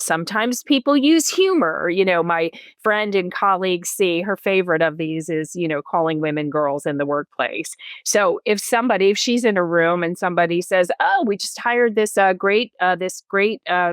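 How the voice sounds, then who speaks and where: This is an ordinary speaking voice, a woman with an American accent talking at a moderate pace and medium pitch with ordinary pitch variation. The recording is very clean with a silent background and a dry, close sound with no echo. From US Northeast, New Jersey. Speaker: executive coach. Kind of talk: podcast interview.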